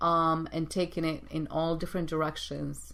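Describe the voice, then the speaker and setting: A woman speaks at a very deep, low pitch. Audible room echo surrounds her voice. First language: not English. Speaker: executive coach and show host. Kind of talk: motivational talk show monologue. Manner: halting, repeats words.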